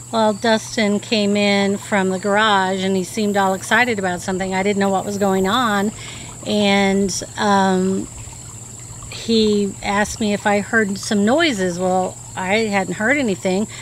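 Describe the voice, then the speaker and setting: A woman talks at a fairly slow pace with fairly even intonation, her dry sound carrying no echo over light background noise. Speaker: witness. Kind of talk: interview answer. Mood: earnest, recounting eerie event. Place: garden.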